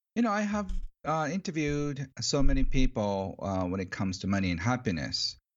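A man speaks at medium pitch with a Japanese accent. His pace is fairly quick, and his pitch swings very widely. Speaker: author on money. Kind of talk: interview. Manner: halting, many fillers; cheerful, excited.

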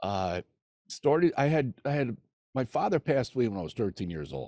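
Very wide pitch swings and a dark, mellow tone with a New Jersey accent, on a very clean, silent-background recording with dry, close sound and no echo. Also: man. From New Jersey, NYC area. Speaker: recovery podcast host, former prisoner. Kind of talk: personal testimony in interview.

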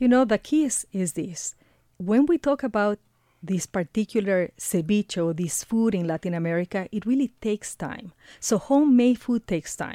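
With a Spanish accent, a woman talks at a moderate pace in a medium pitch, her tone dark and mellow and her intonation lively. The recording is very clean with a silent background, and the sound is dry and close with no echo. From Ecuador. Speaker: radio reporter and producer. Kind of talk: casual chat. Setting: studio.

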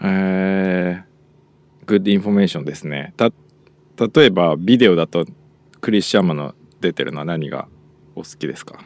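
At a fairly quick pace yet with long, frequent pauses, a man speaks with a very deep, low pitch and ordinary pitch variation. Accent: Japanese. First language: Japanese. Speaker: podcast host. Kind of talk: casual bilingual chat.

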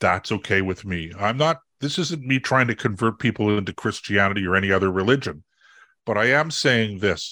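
The recording is very clean, with a silent background. A man talks at a moderate pace with lively intonation. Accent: Canadian. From Canada. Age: 60s. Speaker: conservative political commentator. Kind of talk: interview. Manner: halting, many fillers and repeats; passionate.

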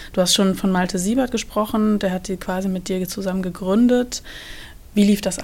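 At a moderate pace, a woman talks in a plain, everyday voice, with medium pitch and fairly even intonation. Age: 30s. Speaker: university social media editor hosting podcast. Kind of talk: interview.

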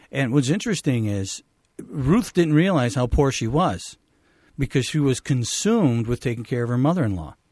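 A man speaks at a moderate pace in a normal speaking voice, pitched at a medium level. His intonation is lively, and the recording is very clean with a silent background. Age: 50s. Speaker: physician. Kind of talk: radio talk show discussion.

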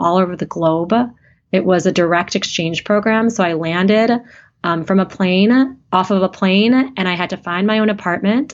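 A woman's plain, everyday voice, medium in pitch, with ordinary pitch variation. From US Midwest, small town in Wisconsin. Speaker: radiation oncologist. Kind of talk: interview conversation.

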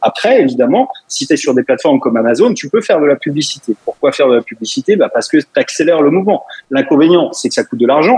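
Talking at a very fast pace, a man's high voice makes very wide pitch swings, with a dry, close sound and no echo. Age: 40s. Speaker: web entrepreneur. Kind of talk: radio interview.

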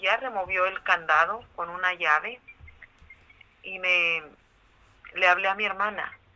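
A woman's voice, fairly low in pitch, comes through noticeable background noise. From Mexico, Michoacán. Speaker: trafficking survivor and foundation founder. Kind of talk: interview testimony. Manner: halting.

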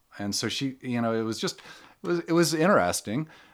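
A man talks at a fairly quick pace in a plain, everyday voice with an American accent. His intonation is lively, and the recording is very clean with a silent background. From US Midwest (Ohio). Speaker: author and climbing photographer. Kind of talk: casual conversation, panel talk before a live audience. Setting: in-store talk, live event.

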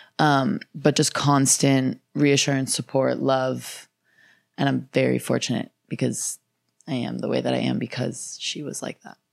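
A woman speaks at a fairly slow pace. Her loudness swings widely. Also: very clean recording, silent background. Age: 20s. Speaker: attorney. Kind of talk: casual chat. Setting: studio.

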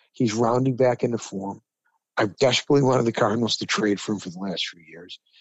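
Speaking at a fairly quick pace, a man with a New York accent uses ordinary pitch variation. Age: 60s. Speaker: sports talk co-host. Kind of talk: casual sports debate chat. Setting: studio. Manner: animated.

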